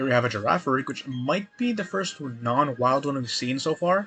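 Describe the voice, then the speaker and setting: There is noticeable background noise as a man speaks at a fairly quick pace. His pitch is fairly high and his intonation lively. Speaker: gaming streamer. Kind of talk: let's play commentary. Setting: live stream. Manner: fast. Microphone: laptop mic, poor quality.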